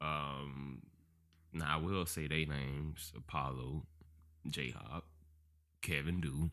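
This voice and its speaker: A man's bright, sharp tone in a very clean recording with a silent background. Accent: American. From Georgia, US. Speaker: podcast guest, former dancer. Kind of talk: casual chat. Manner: animated.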